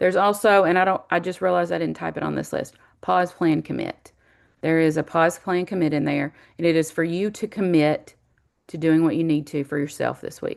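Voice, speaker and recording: Using fairly even intonation, a woman talks at a fairly quick pace with a fairly low pitch. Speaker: college instructor. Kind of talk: online class welcome lecture. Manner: fast; casual, with many fillers.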